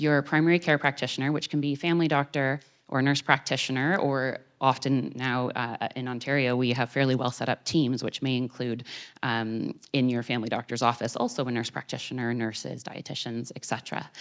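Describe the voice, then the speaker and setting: A woman with a Canadian accent, fairly quick, at a very deep, low pitch and with fairly even intonation, on a very clean recording with a silent background. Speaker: doctor. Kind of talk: public talk. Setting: theater with audience. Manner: fast.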